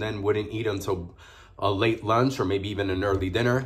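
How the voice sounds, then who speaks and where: A man with a somewhat breathy voice speaks at a fairly quick pace against a quiet background. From New York City (Harlem), Puerto Rican family; New York City. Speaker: food vlogger. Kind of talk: mukbang video, casual talk while eating. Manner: animated. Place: home room. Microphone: phone near.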